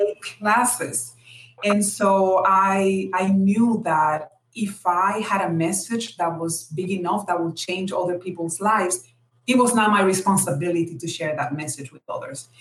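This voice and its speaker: Speaking fairly slowly in a Dominican accent, a woman with a medium pitch and ordinary pitch variation shows big swings in loudness. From Dominican Republic. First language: Spanish. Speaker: technology executive, guest speaker. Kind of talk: interview. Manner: animated, laughs often.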